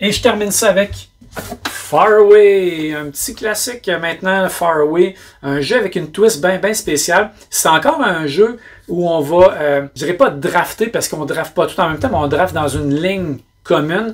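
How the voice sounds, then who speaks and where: A man's high-pitched voice at a fairly slow pace. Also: ordinary pitch variation. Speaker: board game reviewer. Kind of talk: casual review monologue. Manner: hesitant fillers.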